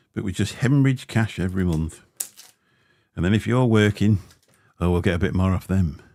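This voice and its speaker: With a very deep, low pitch and a dark, mellow tone, a man talks at a fairly quick pace with ordinary pitch variation and long, frequent pauses. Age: 50s. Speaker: vaping livestreamer. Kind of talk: casual livestream chat. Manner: casual, rambling with fillers. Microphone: Shure SM7B dynamic mic, some crackling.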